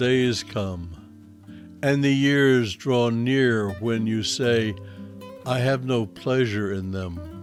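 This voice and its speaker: Music plays in the background as a man speaks. His pace is very slow and his intonation lively. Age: 70s. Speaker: Bible teacher. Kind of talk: Bible teaching and scripture reading. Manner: reflective.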